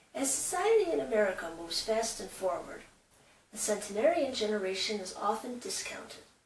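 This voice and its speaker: Over noticeable background noise, a woman talks at a fairly quick pace with a fairly high pitch, very wide pitch swings and big swings in loudness. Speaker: show host. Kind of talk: documentary host intro.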